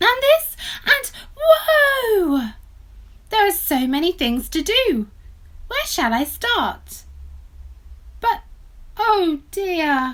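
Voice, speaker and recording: An extremely high put-on character voice, very slow, with very wide pitch swings and long, frequent pauses. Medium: read story.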